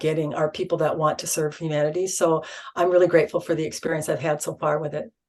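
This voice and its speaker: A woman talks at a fairly quick pace. Her voice has a fairly low pitch. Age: 60s. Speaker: spiritual channeler. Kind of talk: interview. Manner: halting, many fillers.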